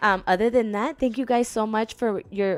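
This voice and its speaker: At a moderate pace, a woman speaks in a fairly high pitch with ordinary pitch variation, on a very clean recording with a silent background. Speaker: book vlogger. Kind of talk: casual talk to camera. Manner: halting, many fillers and restarts.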